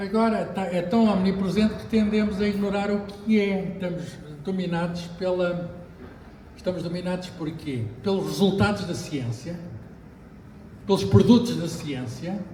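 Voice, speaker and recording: A man with a European Portuguese accent speaks in a high pitch for a man, with noticeable background noise and audible room echo. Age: 60s. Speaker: physicist. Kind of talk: book launch talk. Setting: bookshop with audience. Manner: hesitant, with fillers.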